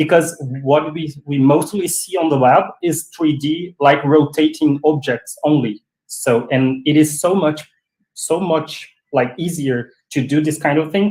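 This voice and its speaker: A man's fairly high, somewhat breathy voice at a fairly slow pace, with fairly even intonation. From Brazil. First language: Portuguese. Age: 40s. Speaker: 3D web designer. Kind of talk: casual chat. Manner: halting.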